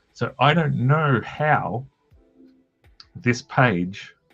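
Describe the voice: The speaker has an Australian accent and lively intonation. Music plays in the background. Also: man.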